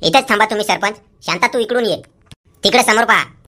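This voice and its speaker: A woman uses a cartoonish character voice with a fairly high pitch. She talks at a fairly quick pace with fairly even intonation. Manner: blunt, cheeky.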